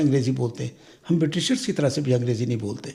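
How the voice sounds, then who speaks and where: Vocal fry runs through a dark, mellow tone that shows ordinary pitch variation. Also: man. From Pakistan. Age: 80s+. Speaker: senior immigrant. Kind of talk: interview answer.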